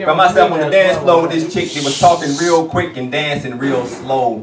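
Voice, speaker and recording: Speech moves at a fairly quick pace with ordinary pitch variation, over noticeable background noise and audible room echo. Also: man. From US South, Atlanta, Georgia. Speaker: spoken word poet. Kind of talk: spoken word poetry performance. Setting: stage with audience.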